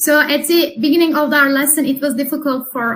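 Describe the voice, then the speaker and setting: At a moderate pace, a woman speaks with a Turkish accent. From Turkey. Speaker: English teacher. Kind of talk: interview.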